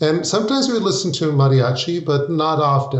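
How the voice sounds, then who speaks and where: A man with an American accent talks at a moderate pace, with audible room echo. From US, Mexican American family. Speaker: opera composer. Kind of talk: interview conversation.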